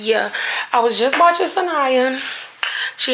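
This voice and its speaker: The speaker moves at a moderate pace with ordinary pitch variation. Light background noise can be heard. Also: woman. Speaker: vlogger. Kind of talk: casual vlog chat. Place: home room. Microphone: phone near.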